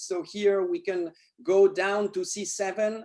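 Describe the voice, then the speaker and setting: A man with a high voice and a French accent. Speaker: neurosurgeon. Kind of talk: lecture. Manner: halting.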